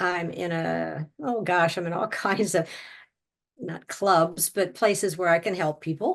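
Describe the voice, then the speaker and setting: A woman's voice has vocal fry and a fairly low pitch. Her pitch variation is ordinary. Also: fairly slow pace, quiet background. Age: 70s. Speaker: near-death experiencer sharing her story. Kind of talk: interview testimony. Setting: video call.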